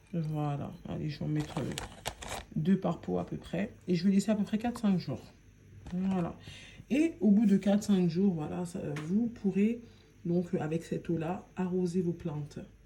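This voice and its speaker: A woman with a dark, mellow, somewhat breathy tone speaks at a fairly slow pace in a medium pitch, with ordinary pitch variation and long, frequent pauses. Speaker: home gardening video maker. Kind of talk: tutorial. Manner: casual, conversational.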